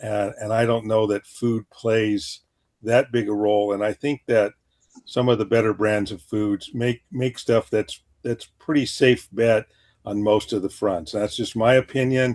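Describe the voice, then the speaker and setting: A man talks at a fairly slow pace with fairly even intonation. His voice sits at a medium pitch, and the sound is dry and close with no echo. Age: 60s. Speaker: retired veterinarian. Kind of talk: interview. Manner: halting.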